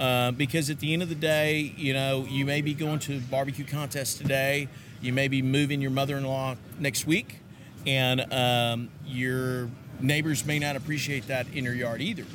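The man has a Texan accent and a monotone, flat intonation. Audible room echo surrounds his voice. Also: medium pitch for a man, moderate pace. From Texas, US. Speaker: charcoal company representative. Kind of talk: casual interview. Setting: conference venue.

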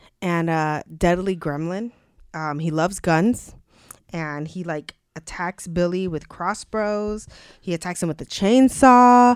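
Speaking at a fairly slow pace in a normal speaking voice, a woman uses a fairly low pitch with ordinary pitch variation on a very clean recording with a silent background. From Mexican-American, US. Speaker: podcast co-host for the episode. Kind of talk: casual chat.

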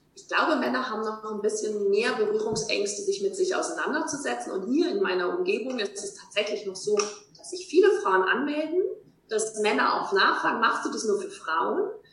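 Fairly high in pitch, a woman speaks at a moderate pace with very wide pitch swings and big swings in loudness. The room echo is audible and the background noise noticeable. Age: 40s. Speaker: life coach. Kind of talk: interview.

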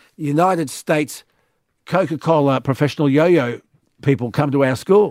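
Here a man with an Australian accent talks at a moderate pace and a fairly high pitch. The sound is dry and close with no echo, on a very clean recording with a silent background. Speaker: radio host. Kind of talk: late-night talkback radio.

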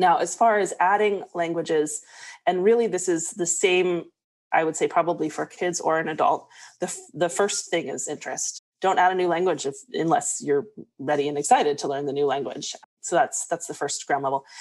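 Against a quiet background, a woman with an American accent talks at a moderate pace in a normal speaking voice, fairly low in pitch, with ordinary pitch variation. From US South, Arkansas. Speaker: language coach. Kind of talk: interview conversation.

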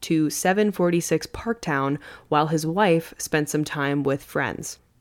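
A normal speaking voice from a woman, fairly low in pitch, with ordinary pitch variation and a moderate pace. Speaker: podcast host. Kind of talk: true-crime narration. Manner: steady, even storyteller pacing.

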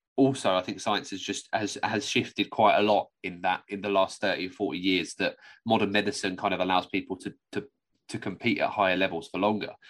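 Against a quiet background, a man talks in an ordinary speaking voice. His pace is fairly quick, his pitch fairly low, and his intonation fairly even. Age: 20s. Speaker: podcast co-host. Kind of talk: casual chat.

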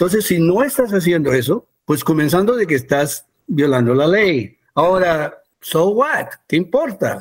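Speaking at a fairly slow pace, a man with a high pitch keeps his loudness very even while his pitch swings very widely. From US, Peruvian family. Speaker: human resources consultant. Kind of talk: interview. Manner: halting, many fillers and repeats.

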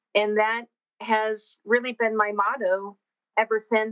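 A woman talks in a Texan accent at a fairly slow pace. Her voice is fairly high, with fairly even intonation. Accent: Texan American. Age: 40s. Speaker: horse trainer and functional anatomy specialist. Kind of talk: interview.

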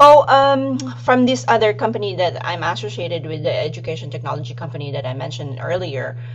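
Speaking at a fairly quick pace with hardly any pauses, a woman with a very deep, low pitch shows ordinary pitch variation and big swings in loudness, amid noticeable background noise and audible room echo. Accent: slight Filipino. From Philippines. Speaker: aquaculture podcast host, accountant. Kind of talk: casual interview.

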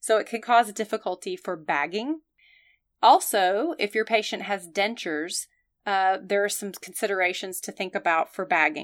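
Against a silent background on a very clean recording, a woman talks at a moderate pace in an ordinary speaking voice, medium in pitch with ordinary pitch variation. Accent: American. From US South. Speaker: emergency nurse, podcast co-host. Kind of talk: educational podcast chat.

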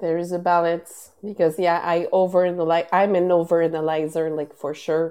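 Against a quiet background, a woman with a fairly low pitch and a dark, mellow tone talks at a fairly quick pace in a monotone, flat intonation, with hardly any pauses. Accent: Quebec. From Quebec, Canada. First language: French. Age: 30s. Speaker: podcast host and wellness advocate. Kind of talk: casual interview. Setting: live stream. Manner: halting, many fillers.

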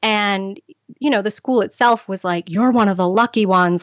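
Here is a woman with an American accent at medium pitch. She uses a normal speaking voice at a moderate pace. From central Massachusetts (Spencer). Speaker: health and lifestyle coach. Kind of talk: interview.

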